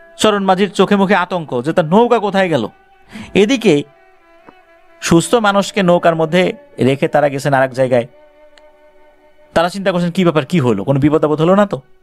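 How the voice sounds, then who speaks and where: Backed by music, a man talks with a high pitch and lively intonation. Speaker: radio horror story host. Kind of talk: horror radio storytelling of listener email stories.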